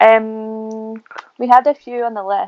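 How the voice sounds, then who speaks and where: Someone speaks in a Glaswegian accent over music in the background. The sound is dry and close, with no echo. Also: woman. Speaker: food podcast host. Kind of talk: casual chat.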